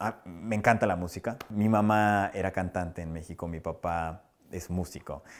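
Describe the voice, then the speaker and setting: A man is speaking. The background is quiet. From Mexico. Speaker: TV personality and musician; interviewee. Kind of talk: interview. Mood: warm, animated. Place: studio. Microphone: lapel.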